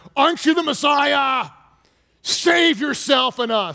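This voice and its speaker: A man puts on a character voice at an extremely high pitch. His voice is raised and projected. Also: fairly slow pace. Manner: angry, insulting.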